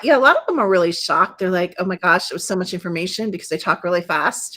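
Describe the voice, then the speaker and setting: Her voice sits at a medium pitch. The woman shows ordinary pitch variation. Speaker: naturopathic doctor and energy healer. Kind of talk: interview. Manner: animated.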